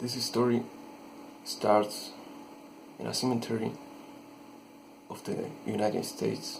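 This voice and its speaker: Long, frequent pauses mark a man's fairly slow speech, with noticeable background noise. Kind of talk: horror story narration. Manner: hesitant, halting.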